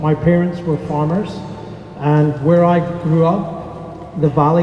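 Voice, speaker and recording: A man's fairly high, monotone voice in a Scottish accent, with audible room echo and noticeable background noise. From northern Scotland. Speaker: airline captain. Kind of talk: speech to an audience.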